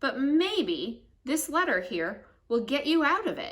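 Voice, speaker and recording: A woman's put-on character voice with a warm tone at a moderate pace. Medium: read story. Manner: warm, reassuring.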